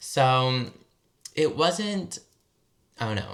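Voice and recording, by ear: A man speaks at a very slow pace with an American accent. His medium-pitched voice has big pitch swings and a fairly bright tone.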